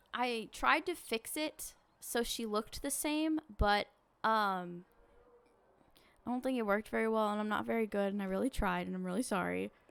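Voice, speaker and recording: Lively intonation marks this woman's fairly high-pitched voice. She keeps a moderate pace. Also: long, frequent pauses, very clean recording, silent background. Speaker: video game streamer. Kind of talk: casual game-stream commentary. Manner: loud at times; hesitant, apologetic.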